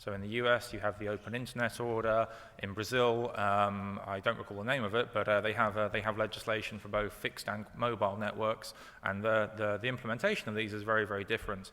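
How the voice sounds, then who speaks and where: In a British accent, a man speaks very fast at a fairly low pitch, his intonation monotone and flat. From UK. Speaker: company executive. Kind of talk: panel presentation. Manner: halting, many fillers.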